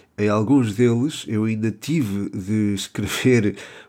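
A man's dark, mellow tone at a fairly low pitch, in a European Portuguese accent with fairly even intonation, on a very clean recording with a silent background. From Portugal. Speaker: football podcaster. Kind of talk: solo podcast commentary. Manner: hesitant, many fillers.

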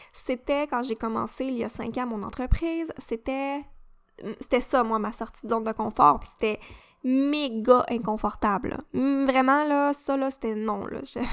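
In a very clean recording with a silent background, a woman with a Quebec accent and a high pitch speaks at a fairly slow pace. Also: ordinary pitch variation. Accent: Québécois French. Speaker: podcast host, mindset coach. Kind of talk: casual solo talk.

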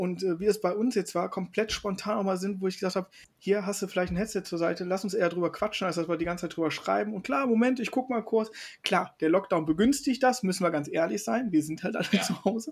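Very fast and high-pitched, a man talks with ordinary pitch variation over a very clean recording with a silent background. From western Germany, Mönchengladbach (NRW). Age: 30s. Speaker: board game influencer. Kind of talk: casual chat.

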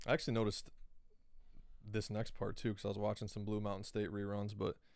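Talking at a very fast pace, a man speaks at a fairly low pitch. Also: long, frequent pauses. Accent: American. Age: 20s. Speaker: podcast host. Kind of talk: casual monologue. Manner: animated.

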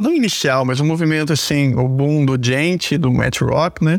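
Over noticeable background noise, a man with a Brazilian accent speaks with ordinary pitch variation. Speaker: guitarist and digital marketer. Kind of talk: casual interview.

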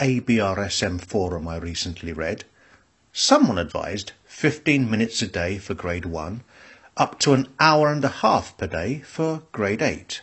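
A man's fairly low, somewhat breathy voice with a British accent, very wide pitch swings and a fairly slow pace. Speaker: music teacher. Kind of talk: scripted monologue.

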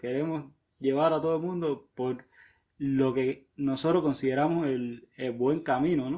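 With an unremarkable speaking voice, a man talks at a moderate pace, his fairly high pitch carried on fairly even intonation. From Havana, Cuba. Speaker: amateur runner. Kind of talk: recorded personal testimony.

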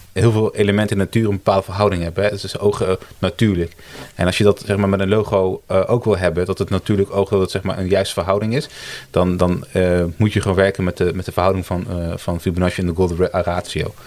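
This man talks at a very fast pace in a fairly low voice. His intonation stays flat and monotone. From Italy. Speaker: brand designer, agency co-founder. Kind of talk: casual interview chat. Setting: around a table in person.

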